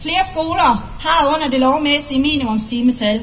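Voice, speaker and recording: A woman speaks at a high pitch with ordinary pitch variation. Noticeable background noise and audible room echo come through. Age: 30s. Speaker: parliamentary candidate. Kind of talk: political rally speech. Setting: outdoor rally with large audience. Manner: oratorical, emphatic.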